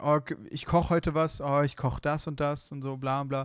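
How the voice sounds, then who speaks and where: Delivered at a moderate pace in a monotone, flat intonation, the speech sits on a very clean recording with a silent background. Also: man. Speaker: podcast co-host. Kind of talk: casual chat.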